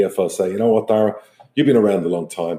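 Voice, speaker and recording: In a very clean recording with a silent background, a man speaks with an Irish accent. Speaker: football club chairman and podcast host. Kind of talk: solo podcast monologue.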